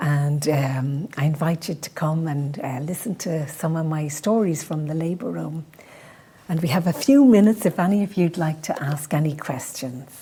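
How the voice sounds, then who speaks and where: A woman's very deep, low voice at a moderate pace, with ordinary pitch variation and noticeable background noise. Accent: Dublin. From Ireland, Dublin. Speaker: midwife. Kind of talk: presentation with Q&A.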